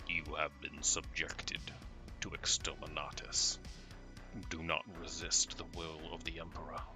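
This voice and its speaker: A man's put-on character voice at a moderate pace over loud music in the background. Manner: commanding, menacing.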